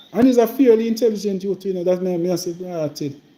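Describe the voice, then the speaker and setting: In a rural Jamaican accent, a man with a high pitch speaks in an animated tone at a fairly quick pace. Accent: Jamaican Patois, rural. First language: Jamaican Patois. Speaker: member of parliament. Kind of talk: casual live-stream chat. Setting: live stream. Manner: repetitive, animated.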